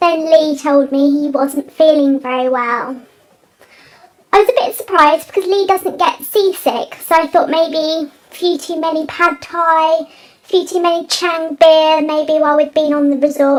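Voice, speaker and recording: A put-on character voice, squeaky, comes at a moderate pace. Its loudness swings widely. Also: woman, extremely high pitch for a woman. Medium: comedy sketch.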